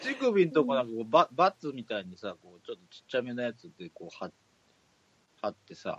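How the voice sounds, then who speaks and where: A man speaks at a fairly quick pace with a medium pitch, very wide pitch swings and big swings in loudness, in a dry, close sound with no echo. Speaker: podcast co-host. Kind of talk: casual chat.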